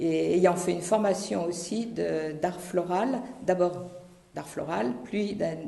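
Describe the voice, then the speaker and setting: Over noticeable background noise and audible room echo, a woman speaks very slowly at a fairly low pitch. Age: 70s. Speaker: parish volunteer, retired physiotherapist. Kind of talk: testimony. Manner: halting.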